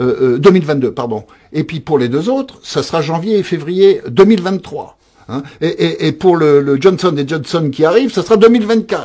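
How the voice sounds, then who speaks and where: A man's high-pitched, dark, mellow voice with lively intonation at a moderate pace. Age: 60s. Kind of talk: interview. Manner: halting, repetitive.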